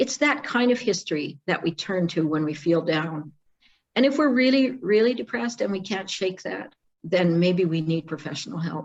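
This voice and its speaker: With a Canadian accent, a woman speaks at a moderate pace and medium pitch in a somewhat breathy voice, her pitch swinging very widely. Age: 60s. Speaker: psychologist. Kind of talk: online workshop talk. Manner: halting.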